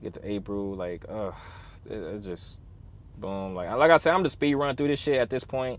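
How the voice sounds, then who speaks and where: A man talks at a fairly low pitch. His loudness swings a lot. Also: lively intonation. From Chicago, US Midwest. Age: 20s. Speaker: truck driver and vlogger. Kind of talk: casual vlog storytime. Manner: fast; animated.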